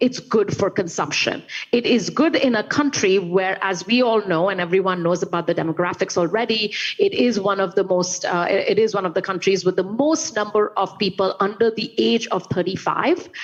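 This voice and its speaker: At a moderate pace, a woman with an Indian accent talks at medium pitch with ordinary pitch variation. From India, Calcutta. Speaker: investment strategist. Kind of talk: panel discussion.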